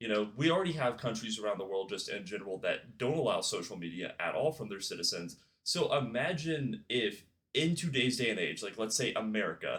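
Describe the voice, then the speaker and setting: This is a plain, everyday voice with lively intonation. The pace is fairly quick. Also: man, medium pitch for a man. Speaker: YouTube commentary creator. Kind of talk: casual commentary video. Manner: casual, with filler words and stumbles.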